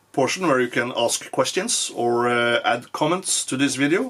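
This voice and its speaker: Against noticeable background noise, a man with a Norwegian accent talks at a moderate pace, his pitch fairly high with ordinary variation. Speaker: firearms youtuber. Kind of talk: product review; range shooting commentary. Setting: shooting range. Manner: halting, many fillers.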